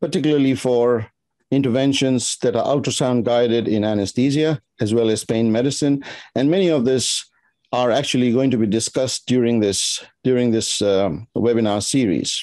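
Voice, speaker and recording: A man speaks at a moderate pace in a dark, mellow tone, with ordinary pitch variation. His loudness stays very even against a quiet background. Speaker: symposium host. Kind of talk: formal welcome speech. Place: home room. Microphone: webcam.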